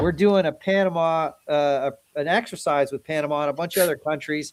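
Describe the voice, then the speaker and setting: A man speaks with an American accent and a high pitch. His pace is moderate and his pitch variation ordinary. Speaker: military helicopter pilot and scale modeller. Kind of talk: casual chat. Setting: livestream. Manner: talkative.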